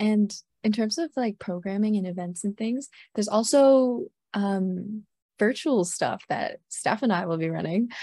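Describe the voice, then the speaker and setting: A woman's fairly high voice with a dark, mellow tone, fairly slow pace and ordinary pitch variation, dry and close with no echo against a quiet background. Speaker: student podcast co-host. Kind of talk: casual chat.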